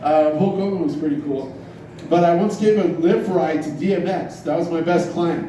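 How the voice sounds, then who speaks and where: A man's high-pitched voice amid noticeable background noise and audible room echo. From Iran. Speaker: stand-up comedian. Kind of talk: stand-up. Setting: bar stage with audience.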